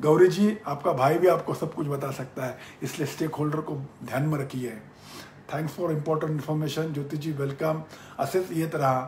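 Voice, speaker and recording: A man with a Marathi accent speaks with a fairly high pitch and fairly even intonation. There is audible room echo. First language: Marathi (speaking Hindi). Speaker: business mentor. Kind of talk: live-stream Q&A. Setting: Facebook live session.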